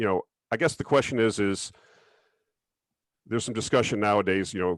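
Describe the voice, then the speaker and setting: A man with a plain, everyday voice talks at a fairly quick pace in a fairly low pitch with ordinary pitch variation. The sound is dry and close, with no echo. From southern Florida. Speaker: interview host. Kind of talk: interview.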